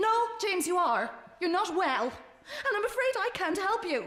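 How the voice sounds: Doing a put-on character voice, a woman speaks at a fairly slow pace in an extremely high pitch, with big pitch swings and a fairly bright tone.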